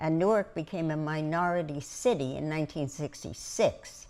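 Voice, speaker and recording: Her pitch is very deep and low. The woman's pitch moves in an ordinary way. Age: 80s+. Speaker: preservation activist. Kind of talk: interview testimony.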